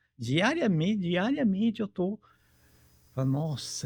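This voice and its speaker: A man's somewhat breathy voice moves at a moderate pace with lively intonation. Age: 70s. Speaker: interview guest, healthy-aging older adult. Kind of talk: interview. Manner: halting, many fillers.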